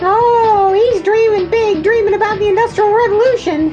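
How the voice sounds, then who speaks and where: A put-on character voice, squeaky and extremely high-pitched, moves at a moderate pace over loud music in the background. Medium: audio drama. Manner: chatty, excitable.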